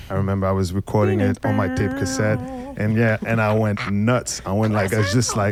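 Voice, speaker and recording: With music in the background, a man speaks fairly quickly at a fairly low pitch, with very even loudness and monotone, flat intonation. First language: French and Haitian Creole. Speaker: hip hop DJ. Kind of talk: casual panel conversation. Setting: bookshop.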